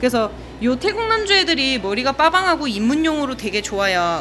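A high-pitched woman at a fairly quick pace, with light background noise. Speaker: aquarium shop seller. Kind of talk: live stream sales commentary. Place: shop. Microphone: phone near.

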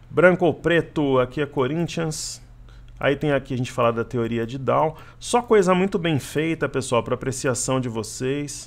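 Using a plain, everyday voice, a man talks at a moderate pace. His pitch sits fairly high, with ordinary variation. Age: 40s. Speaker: stock market trader and analyst. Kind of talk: casual Q&A with viewers; market analysis commentary.

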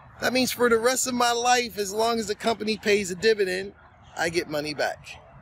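Against light background noise, a man's voice comes through with a dry sound and no echo. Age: 50s. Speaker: finance YouTuber. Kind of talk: casual monologue to camera. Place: open country. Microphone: phone near.

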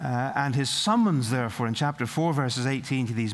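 A man is speaking. He talks with a Northern Irish accent. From Northern Ireland. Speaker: preacher. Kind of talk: sermon. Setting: college chapel service. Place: hall. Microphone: podium.

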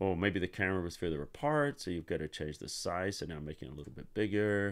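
Against a quiet background, a man with a very deep, low voice talks fairly quickly with ordinary pitch variation. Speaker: Photoshop tutorial host. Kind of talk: live-stream tutorial. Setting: livestream with online chat. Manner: not loud, subdued.

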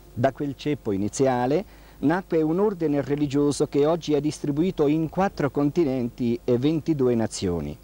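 A man speaks at a fairly high pitch with a dark, mellow tone, at a fairly slow pace with hardly any pauses. The sound is dry and close, with no echo. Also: ordinary pitch variation. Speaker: TV interviewer and friar. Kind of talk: 1979 TV interview, formal presenter. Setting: studio or convent, TV broadcast. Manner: formal, courteous, measured.

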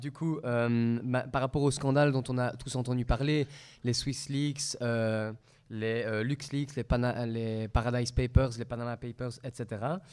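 A man at a very slow pace with fairly even intonation and a quiet background. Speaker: student moderator. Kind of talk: moderating. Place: hall. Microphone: podium.

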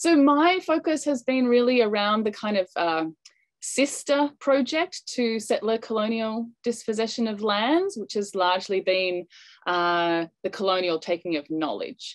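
A woman's fairly high voice in an Australian accent, with very wide pitch swings, against a quiet background. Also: fairly slow pace. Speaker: anthropology professor. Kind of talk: panel presentation. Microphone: video call.

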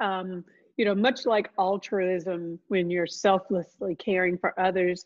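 The setting is quiet. Against it, a woman talks at a fairly slow pace. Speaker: nonprofit chief executive. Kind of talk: panel discussion. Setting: video call. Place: home room. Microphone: video call.

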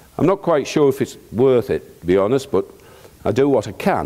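A man with a medium-pitched, dark and mellow voice talks at a moderate pace, his intonation lively and touched with vocal fry. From North East England, County Durham. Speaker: poultry farmer and conference speaker. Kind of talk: conference talk with slides. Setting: stage with audience.

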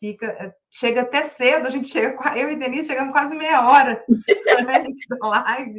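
A woman is speaking. The background is quiet. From Brazil. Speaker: livestream moderator. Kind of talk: casual chat. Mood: warm, enthusiastic. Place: home room. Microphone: webcam.

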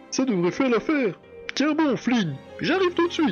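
A put-on character voice, high in pitch, moves at a moderate pace with clear music in the background. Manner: urgent, heroic.

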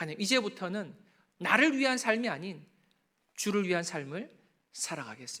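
A man speaks at a moderate pace in a raised, projected voice. His tone is bright and sharp. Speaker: pastor. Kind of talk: sermon. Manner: gets loud when preaching.

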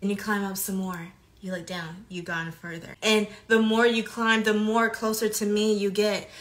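Her intonation flat and monotone, a woman talks at a moderate pace. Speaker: faith content creator. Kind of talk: devotional preaching monologue. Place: home room. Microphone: phone near.

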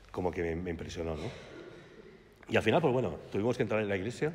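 This man talks at a very fast pace with a very deep, low pitch. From Valencia, Spain; Spain. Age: 50s. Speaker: speaker giving a religious testimony; guest. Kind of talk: testimony. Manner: halting, with repetitions. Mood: warm, smiling, reminiscing. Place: church. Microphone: podium.

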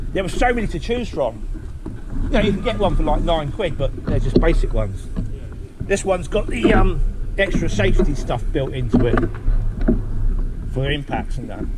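Loud background noise sits behind a man who keeps a moderate pace and leaves long, frequent pauses. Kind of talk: casual phone chat. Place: street. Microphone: helmet.

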